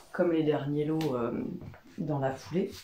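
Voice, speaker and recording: The speech moves at a moderate pace with ordinary pitch variation, heard through audible room echo and noticeable background noise. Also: woman. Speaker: craft vlogger and wool dyer. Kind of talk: casual vlog monologue. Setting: workshop. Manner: hesitant, many fillers.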